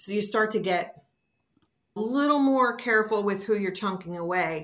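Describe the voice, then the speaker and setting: A woman uses an ordinary speaking voice at a moderate pace, with medium pitch and ordinary pitch variation. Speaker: DNA discovery advocate. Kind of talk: interview.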